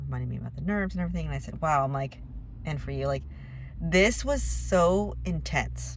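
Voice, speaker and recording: A woman speaks at a moderate pace, with audible echo in the room. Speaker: vlogger. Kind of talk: casual vlog monologue. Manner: halting.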